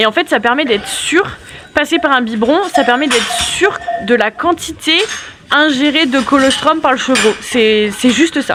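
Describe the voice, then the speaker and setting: With lively intonation and very even loudness, a woman speaks at a high pitch. Noticeable background noise can be heard. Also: fairly slow pace. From France, Yonne near Auxerre. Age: 30s. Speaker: goat farmer. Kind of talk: casual Q&A chat. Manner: talkative, explains at length.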